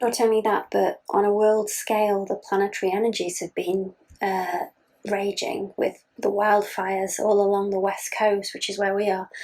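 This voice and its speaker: A woman's medium-pitched, monotone, flat voice at a moderate pace. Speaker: astrologer and tarot reader. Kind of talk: astrology and tarot reading. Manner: halting.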